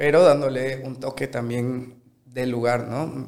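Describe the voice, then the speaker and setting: The voice belongs to a man. It has a medium pitch. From Bolivia, Sucre. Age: 20s. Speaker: chef. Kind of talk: casual interview.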